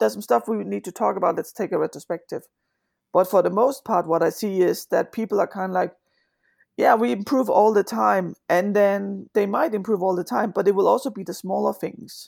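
A woman with a Danish accent talks at a fairly quick pace with vocal fry and ordinary pitch variation, in a very clean recording with a silent background. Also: medium pitch for a woman. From Denmark. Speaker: agile coach. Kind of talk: interview.

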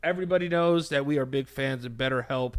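The voice has a bright, sharp tone and an American accent at a moderate pace. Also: man. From New York City. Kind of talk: ad read.

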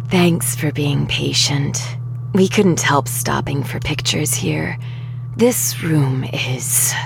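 A man uses a put-on character voice, hoarse and medium in pitch. He speaks very slowly over loud background noise. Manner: friendly, kind, chatty.

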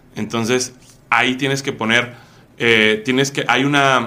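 This man's voice has a bright, sharp tone. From Mexico City. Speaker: e-commerce entrepreneur. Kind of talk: interview.

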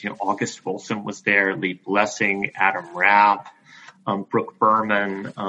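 With an American accent, a man speaks at a fairly low pitch and a moderate pace. His tone is bright and sharp. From US South, Greenville, South Carolina. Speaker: theater director. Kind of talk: interview. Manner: halting, with fillers.

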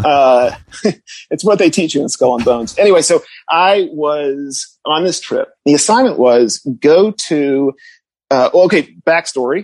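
An unremarkable speaking voice from a fairly high-pitched man with an American accent, lively in intonation, at a fairly slow pace, with a dry, close sound and no echo. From Connecticut suburbs. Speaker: writer. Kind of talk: casual chat. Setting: studio.

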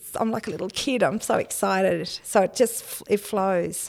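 This woman talks in an Australian accent, her pace moderate and her pitch variation ordinary. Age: 50s. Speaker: novelist and farmer. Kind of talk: interview. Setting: studio.

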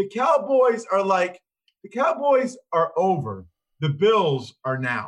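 Speaking at a very slow pace, a man with an American accent uses a high pitch and very wide pitch swings. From Pennsylvania, outside Philadelphia. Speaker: former NFL lineman, podcast host, football broadcaster. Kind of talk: casual chat. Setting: video call from a hotel room.

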